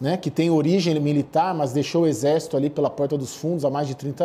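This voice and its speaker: Pitched fairly high, a man's voice has a dark, mellow tone. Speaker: political correspondent. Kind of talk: live news report.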